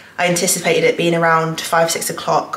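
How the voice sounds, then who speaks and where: With audible room echo around her, a woman speaks at a moderate pace in a fairly low pitch. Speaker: vlogger. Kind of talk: casual vlog chat. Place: home room. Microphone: phone near.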